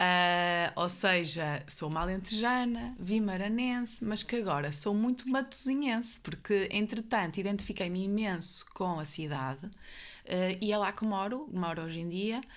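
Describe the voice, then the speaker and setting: A medium-pitched woman with a northern Portuguese accent, a fairly slow pace and lively intonation. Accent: northern Portuguese (Guimarães). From northern Portugal, Guimarães. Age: 30s. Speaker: psychiatrist. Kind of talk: podcast interview.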